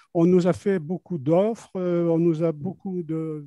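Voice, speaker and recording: Against a quiet background, a man speaks very slowly in a high pitch. His tone is dark and mellow, and his intonation stays fairly even. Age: 80s+. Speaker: co-owner, webinar participant. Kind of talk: audience question.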